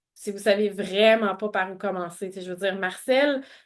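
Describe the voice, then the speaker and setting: A woman speaks with a Quebec accent. Her pitch varies in an ordinary way. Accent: Québécois French. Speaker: webinar presenter. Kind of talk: webinar presentation with Q&A. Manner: halting, many fillers and repetitions.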